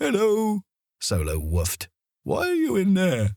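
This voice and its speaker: A man speaks in a put-on character voice at a fairly slow pace. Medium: read story.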